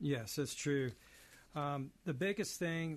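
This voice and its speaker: Here is a man with an ordinary speaking voice, pitched fairly high. His pace is moderate, and the background is quiet. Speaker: elder care financial planner. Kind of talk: advice segment.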